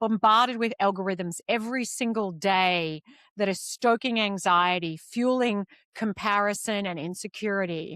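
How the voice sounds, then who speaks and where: Heard on a very clean recording with a silent background and a dry, close sound with no echo, a woman with an Australian accent and fairly high pitch speaks at a moderate pace. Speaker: podcast host. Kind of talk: interview conversation.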